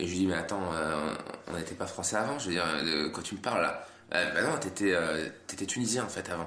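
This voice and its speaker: Very deep and low, a man's voice moves at a moderate pace. Noticeable background noise and audible room echo accompany him. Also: ordinary pitch variation. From France. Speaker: comedian. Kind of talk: casual chat.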